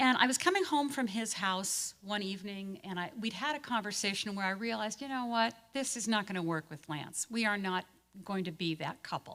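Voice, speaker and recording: A woman with a plain, everyday voice talks at a fairly quick pace with hardly any pauses. Her medium pitch moves with lively intonation. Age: 60s. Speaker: pastor. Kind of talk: talk to a church group.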